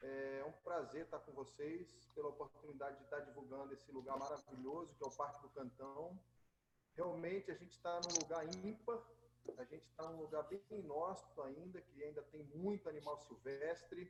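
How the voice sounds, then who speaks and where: A fairly high-pitched man's voice at a moderate pace, with ordinary pitch variation and noticeable background noise. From Rio de Janeiro, Brazil. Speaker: nature tour guide. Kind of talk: live slide presentation. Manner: casual, hesitant.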